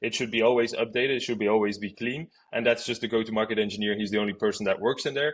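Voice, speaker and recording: At a very fast pace, a man with a strong Flemish accent talks in a medium pitch with fairly even intonation. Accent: strong Flemish Dutch. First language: Dutch. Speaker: outbound marketing expert. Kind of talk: podcast interview.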